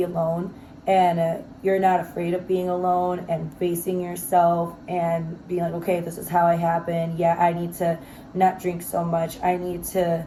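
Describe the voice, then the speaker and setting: The speaker is somewhat breathy, with monotone, flat intonation at a moderate pace. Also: woman. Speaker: self-help vlogger. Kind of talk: casual motivational monologue. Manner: free-flowing, filler-heavy.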